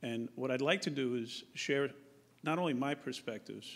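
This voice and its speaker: A man with a Bronx accent, medium in pitch, at a moderate pace and with fairly even intonation. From New York, Bronx. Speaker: police chief. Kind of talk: public forum presentation. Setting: public forum at podium.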